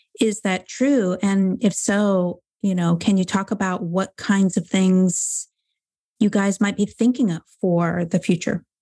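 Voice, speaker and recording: A woman's somewhat breathy, dark, mellow voice at medium pitch, fairly slow, over a quiet background. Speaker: podcast host. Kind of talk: interview. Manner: enthusiastic.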